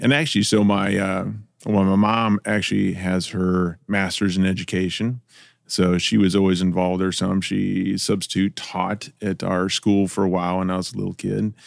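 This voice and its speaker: With an American accent, a man speaks in a very deep, low pitch at a moderate pace. His intonation is fairly even, and the recording is very clean with a silent background. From Iowa. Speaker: school board president and entrepreneur. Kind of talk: casual interview.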